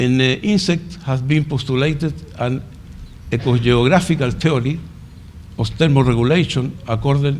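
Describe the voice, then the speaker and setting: Somewhat breathy and at a medium pitch, a man speaks at a moderate pace with ordinary pitch variation and long, frequent pauses, while audible room echo fills the recording. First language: Spanish. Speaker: conference speaker, entomology researcher. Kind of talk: conference presentation. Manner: halting.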